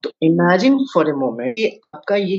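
The man's voice sits at a high pitch. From Jharkhand, India (Jamshedpur). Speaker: career counselor and startup founder. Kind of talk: podcast interview. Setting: virtual studio.

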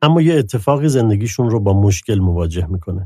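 A somewhat breathy man talks at a moderate pace, his fairly low voice dark and mellow. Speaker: literary podcast co-host. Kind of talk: scripted narration.

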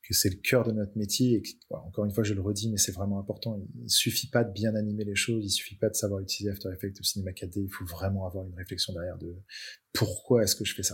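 On a very clean recording with a silent background, a man with a fairly low, somewhat breathy voice talks very fast in a flat, monotone way. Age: 30s. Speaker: motion design studio cofounder and school director. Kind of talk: interview conversation.

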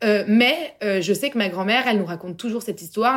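On a very clean recording with a silent background, a woman talks very fast at a medium pitch with ordinary pitch variation. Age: 20s. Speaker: entrepreneur. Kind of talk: casual chat.

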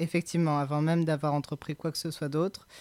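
A man speaks with a fairly high pitch and a dark, mellow tone in monotone, flat intonation. The recording is very clean, with a silent background. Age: 20s. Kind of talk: testimony interview. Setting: home recording studio. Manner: halting.

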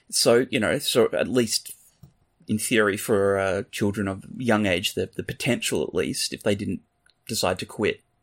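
At a moderate pace, a man with an Australian accent speaks in a very clean recording with a silent background, the sound dry and close with no echo. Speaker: true crime podcast co-host. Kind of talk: casual chat.

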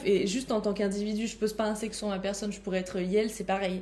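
A woman talks fairly quickly in a fairly high voice, with noticeable background noise around her. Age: 20s. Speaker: community manager. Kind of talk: casual chat. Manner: animated.

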